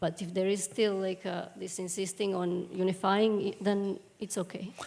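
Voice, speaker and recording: A woman's medium-pitched voice in a Serbian accent, monotone and flat at a moderate pace. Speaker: translator. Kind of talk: question and answer.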